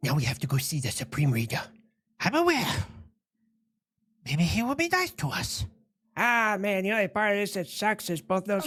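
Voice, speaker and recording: A female-sounding put-on character voice speaks at medium pitch and a moderate pace, nasal and serious in tone. The pitch swings very widely, with long, frequent pauses. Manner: comic, mock-serious.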